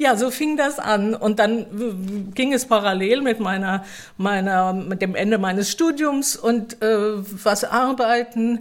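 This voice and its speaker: Speaking at a very slow pace, a woman uses a fairly high pitch. Her pitch varies in an ordinary way. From Mannheim area, Germany. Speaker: theatre staff member. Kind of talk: casual interview.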